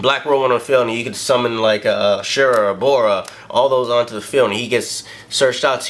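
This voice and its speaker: Noticeable background noise fills the recording. Through it comes a man's medium-pitched voice. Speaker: card game deck showcaser. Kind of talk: casual tutorial. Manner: fast; animated.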